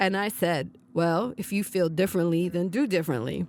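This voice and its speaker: Here a woman talks at a moderate pace at medium pitch. It is a normal speaking voice. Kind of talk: personal storytelling interview.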